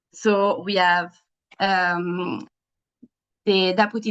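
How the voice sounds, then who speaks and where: The speaker talks with an Italian accent and fairly even intonation. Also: woman. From Italy. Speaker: young women's health advocate, event moderator. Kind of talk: webinar moderation. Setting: video call webinar. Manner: hesitant, many fillers.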